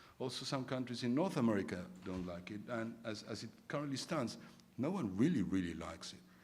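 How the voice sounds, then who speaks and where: With audible room echo, a man speaks at a fairly quick pace, his pitch swinging very widely. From Argentina. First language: Spanish. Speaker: arbitration lawyer, conference debater. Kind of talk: formal debate speech. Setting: conference stage with audience. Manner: many repetitions and filler words.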